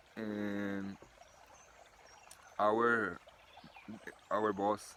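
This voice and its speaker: A man's fairly low voice with a Brazilian accent, monotone and flat in intonation. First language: Portuguese. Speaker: builder. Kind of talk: testimony. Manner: halting.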